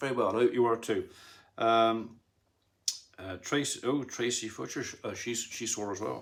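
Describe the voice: Vocal fry runs through a fairly bright tone. The pace is moderate, with ordinary pitch variation. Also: man, medium pitch for a man.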